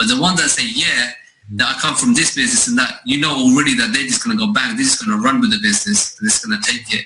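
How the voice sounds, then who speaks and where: Someone with a London accent talks at a very fast pace with very even loudness. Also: man. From East London, England. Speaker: network marketing recruiter. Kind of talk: sales pitch.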